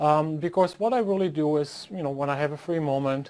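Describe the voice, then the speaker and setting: On a very clean recording with a silent background, a man speaks at a moderate pace with a fairly high pitch and ordinary pitch variation. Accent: German. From Germany. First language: German. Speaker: professor. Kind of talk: lecture. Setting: office. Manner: hesitant with fillers.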